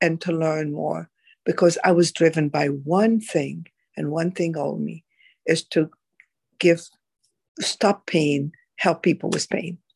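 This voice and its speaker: A woman's fairly low voice with vocal fry, at a fairly slow pace. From Egypt. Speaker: doctor. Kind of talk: interview. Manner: animated.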